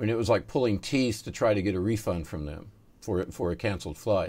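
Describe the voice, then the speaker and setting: A man with an American accent talks at a fairly quick pace. His pitch is fairly low, and he has an unremarkable speaking voice. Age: 50s. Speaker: magazine editor and interviewer. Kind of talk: interview.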